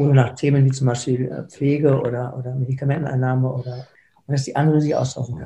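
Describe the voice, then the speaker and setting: The delivery is very fast and somewhat breathy. Its intonation stays monotone and flat. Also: man, medium pitch for a man. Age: 50s. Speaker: foundation founder with Parkinson's, lawyer and entrepreneur. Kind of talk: interview. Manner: halting, with repeated words.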